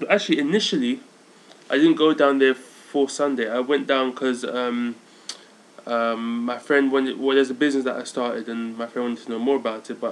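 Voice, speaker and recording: A man with a London accent, medium pitch, fairly even intonation and a fairly quick pace, over noticeable background noise. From London, England. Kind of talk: casual vlog monologue. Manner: halting, many fillers.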